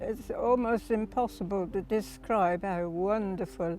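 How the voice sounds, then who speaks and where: Music plays in the background as a woman with a British accent speaks at a medium pitch with ordinary pitch variation. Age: 80s+. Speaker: war veteran, wartime ferry pilot. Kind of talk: interview answer.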